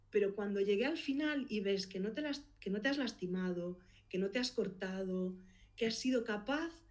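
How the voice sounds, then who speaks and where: A woman speaks at a moderate pace with lively intonation. Her pitch sits in the medium range. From Galicia. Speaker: podcast producer and consultant. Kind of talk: interview.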